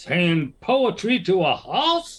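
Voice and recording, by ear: A woman's put-on character voice, fairly low in pitch, with very wide pitch swings at a slow pace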